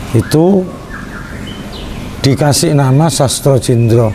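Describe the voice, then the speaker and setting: Over noticeable background noise, a man with a Javanese accent speaks at a very slow pace. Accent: Javanese Indonesian. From Central Java, Indonesia (Kudus). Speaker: Islamic religious study group leader. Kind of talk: interview.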